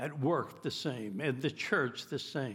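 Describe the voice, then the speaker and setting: Vocal fry runs through this moderately paced speech with ordinary pitch variation, in a very clean recording with a silent background. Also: man. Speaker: pastor. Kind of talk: sermon; sermon, preacher in full flow. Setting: church. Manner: earnest, emphatic, fervent preaching.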